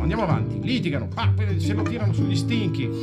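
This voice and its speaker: Loud music plays in the background while a man speaks. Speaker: voice actor and audiobook narrator. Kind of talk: informal retelling to children, summarising the story. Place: shop. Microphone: camera far.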